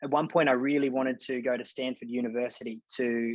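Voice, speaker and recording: A man speaks in an Australian accent at a fairly quick pace. His pitch is medium, and his intonation fairly even. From Australia, rural New South Wales. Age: 20s. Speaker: mental performance coach. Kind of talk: podcast interview.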